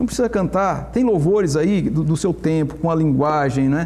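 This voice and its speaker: Dark, mellow tone at a moderate pace. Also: man. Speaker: pastor. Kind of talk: Bible study discussion. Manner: animated.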